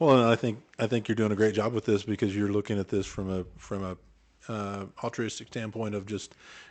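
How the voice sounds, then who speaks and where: Over a quiet background, a man with an Oklahoma accent talks at a fairly quick pace in a fairly low, monotone, flat voice. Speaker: podcast co-host. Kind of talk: casual chat.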